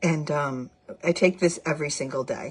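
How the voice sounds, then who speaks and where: A somewhat breathy voice moves at a fairly slow pace. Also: woman. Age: 60s. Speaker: product seller / vlogger. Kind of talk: product demonstration vlog. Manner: casual, chatty with fillers.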